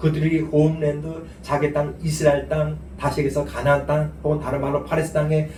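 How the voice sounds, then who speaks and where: With noticeable background noise and audible room echo, a man talks at a fairly high pitch. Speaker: guest preacher, seminary dean. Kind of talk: sermon. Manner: fast.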